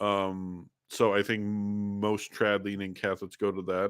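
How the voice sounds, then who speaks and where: A man speaks at a fairly low pitch with a bright, sharp tone. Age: 30s. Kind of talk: live stream chat reading viewer comments. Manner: halting, repeated word starts.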